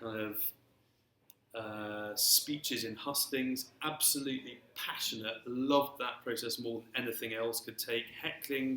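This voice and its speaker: At a fairly slow pace, a man speaks with a bright, sharp tone. His pitch is medium and his intonation fairly even. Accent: English. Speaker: speaker with a stammer. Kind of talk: panel talk. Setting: live-streamed talk with audience. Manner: stammer.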